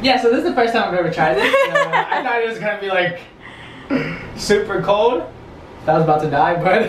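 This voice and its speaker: A man talks at a fairly quick pace against noticeable background noise. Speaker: vlogger. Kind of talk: casual vlog chat. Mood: playful, excited. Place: bathroom.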